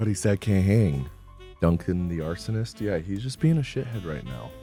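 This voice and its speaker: A man with a very deep, low voice speaks at a moderate pace, his pitch swinging very widely. Music plays in the background. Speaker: streamer / comedian hosting a live stream. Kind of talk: casual talk to camera, livestream commentary.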